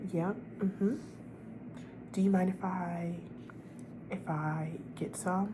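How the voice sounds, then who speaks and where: Soft-spoken and gentle, a woman with a medium pitch talks in a warm tone over noticeable background noise. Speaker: ASMR creator. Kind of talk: ASMR comforting friend roleplay, soft-spoken. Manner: soft-spoken, gentle, warm.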